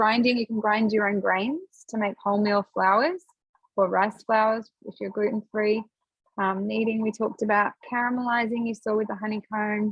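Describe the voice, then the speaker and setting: A woman speaks with a fairly high voice. Her delivery is somewhat breathy. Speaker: product demonstrator. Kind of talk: live product demonstration. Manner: fast.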